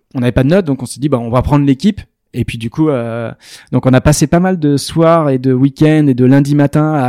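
In a very clean recording with a silent background and a dry, close sound with no echo, a man speaks at a fairly quick pace and a fairly high pitch. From France, Arcachon basin (southwest). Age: 30s. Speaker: startup co-founder. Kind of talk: interview. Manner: hesitant, many fillers.

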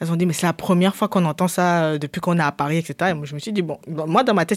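Against a silent background on a very clean recording, a woman talks at a very fast pace. Her pitch is fairly low, with ordinary variation. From Cameroon. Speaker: DJ and media founder. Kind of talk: casual interview. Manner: halting.

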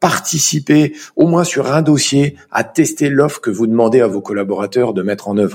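A man's ordinary speaking voice, medium in pitch, with lively intonation at a fairly slow pace. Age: 40s. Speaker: chartered accountant. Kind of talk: interview.

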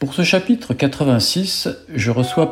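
A man is speaking. His intonation is lively. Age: 70s. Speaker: podcast host, cyclist. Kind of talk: scripted intro; casual chat.

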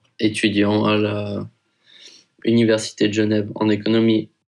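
The speaker is a man with a fairly low voice. His intonation is monotone and flat. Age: 20s. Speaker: university student. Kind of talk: casual testimony. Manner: casual slangy.

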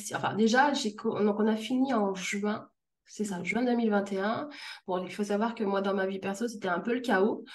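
An ordinary speaking voice goes at a fairly slow pace with fairly even intonation. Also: woman, medium pitch for a woman. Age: 30s. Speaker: freelance customer care manager. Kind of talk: interview testimony.

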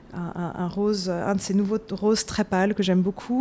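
Medium-pitched speech from a woman, with noticeable background noise behind it. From France, Paris. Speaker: author and beauty journalist. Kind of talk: casual interview. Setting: office in Manhattan.

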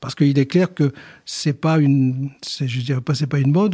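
A man talks at a fairly high pitch with ordinary pitch variation and a moderate pace. His voice is somewhat breathy, with a dark, mellow tone. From northern France, Boulogne-sur-Mer. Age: 60s. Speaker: company president. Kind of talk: interview. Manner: halting.

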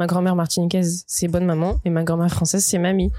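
A woman's fairly low voice, very fast and monotone with flat intonation. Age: 20s. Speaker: podcast guest. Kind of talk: casual chat.

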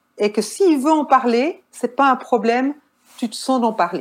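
A woman speaks with a Swiss accent. Her pace is fairly slow. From Switzerland. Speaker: nurse and caregiver. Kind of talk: interview.

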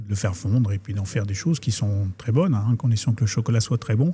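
The man's voice has a medium pitch and a dark, mellow tone. It is somewhat breathy, with ordinary pitch variation. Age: 50s. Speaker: chocolate company owner. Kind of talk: interview. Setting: chocolate shop next to workshop. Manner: hesitant, many fillers.

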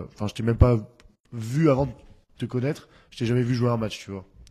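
The background is quiet. A man speaks at a medium pitch in a dark, mellow tone with fairly even intonation. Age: 20s. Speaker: podcast host and DJ. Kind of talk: casual interview.

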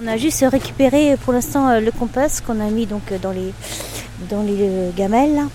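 A woman speaks at a fairly slow pace with fairly high pitch. Her pitch variation is ordinary, and noticeable background noise is present. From rural France. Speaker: unemployed resident. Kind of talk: interview. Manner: halting.

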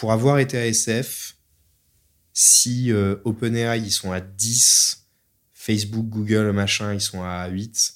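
On a very clean recording with a silent background, a man with a fairly low pitch speaks with fairly even intonation. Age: 30s. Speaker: startup founder and CEO. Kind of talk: interview.

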